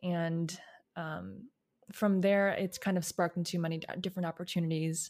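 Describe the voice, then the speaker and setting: On a very clean recording with a silent background, a woman speaks at a moderate pace in a fairly low pitch with monotone, flat intonation. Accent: American. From US Midwest, outside Chicago, Illinois. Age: 20s. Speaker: analyst, model and recording artist. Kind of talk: interview.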